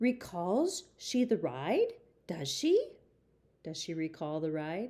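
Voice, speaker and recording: A woman puts on a character voice with a fairly high pitch at a fairly slow pace. The recording is very clean, with a silent background. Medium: read story. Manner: repetitive, halting, archaic grammar.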